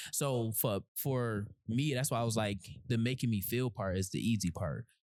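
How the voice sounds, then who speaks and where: This man talks at a moderate pace with very even loudness and ordinary pitch variation. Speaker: podcast host. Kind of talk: casual chat. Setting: in-person podcast recording. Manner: low, quiet.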